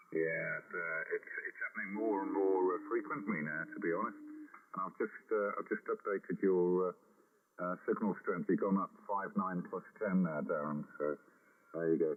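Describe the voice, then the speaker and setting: Here a man talks at a moderate pace. Noticeable background noise sits behind him. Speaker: ham radio operator. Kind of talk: radio contact. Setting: amateur radio contact.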